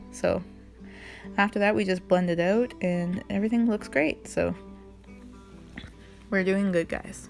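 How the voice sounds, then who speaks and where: Medium-pitched female speech, moderately paced, ordinary in pitch variation, with music behind it. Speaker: makeup vlogger, mom. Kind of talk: makeup tutorial talk to camera. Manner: casual, awkward, self-deprecating.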